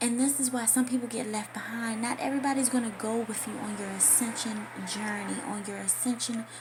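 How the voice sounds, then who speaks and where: Noticeable noise sits in the background. Through it, a woman talks fairly quickly. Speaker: spiritual affirmations vlogger. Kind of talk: casual monologue vlog. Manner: soft-spoken.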